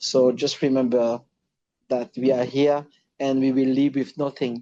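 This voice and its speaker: The man's voice has a dark, mellow tone at a medium pitch. His intonation is monotone and flat, with very even loudness. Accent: French. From Reunion Island. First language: French. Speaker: former footballer. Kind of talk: interview. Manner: halting.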